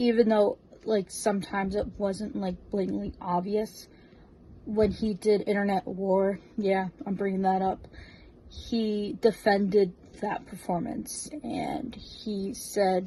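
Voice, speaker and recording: Very slowly, a woman with an American accent speaks at a medium pitch in a dark, mellow, somewhat breathy tone with fairly even intonation. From US Northeast, New Jersey. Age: 20s. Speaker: fan, drag performer. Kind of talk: recorded video tribute message.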